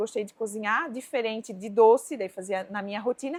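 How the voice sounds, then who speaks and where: A woman's fairly high voice, fairly quick in pace, with ordinary pitch variation. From Balneário Camboriú, Santa Catarina, southern Brazil. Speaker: cooking teacher and entrepreneur. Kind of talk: casual interview chat.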